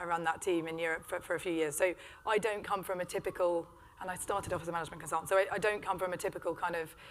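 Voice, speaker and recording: A British-accented woman speaks very fast in a monotone, flat intonation. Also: fairly low pitch for a woman. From Britain. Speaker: business executive. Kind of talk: panel discussion.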